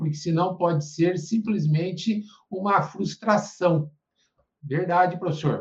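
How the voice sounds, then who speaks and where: With ordinary pitch variation, a man speaks in a high register. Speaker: theology and religious studies tutor. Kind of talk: academic interview.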